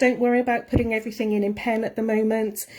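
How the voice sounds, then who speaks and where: A woman's fairly high, somewhat breathy voice with a dark, mellow tone and a Welsh accent, in a very clean recording with a silent background. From Wales. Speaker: art tutor. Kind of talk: live tutorial. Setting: Facebook live stream. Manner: fast.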